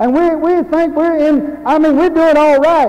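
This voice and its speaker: A man with an American accent at a moderate pace. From Louisiana, United States. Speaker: Baptist preacher. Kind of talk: sermon. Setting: church. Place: church.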